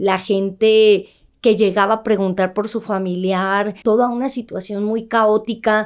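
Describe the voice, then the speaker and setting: A woman talks at a very slow pace with monotone, flat intonation. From northern Mexico, Ciudad Juárez. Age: 30s. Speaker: journalist and news presenter. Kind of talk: interview testimony. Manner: firm.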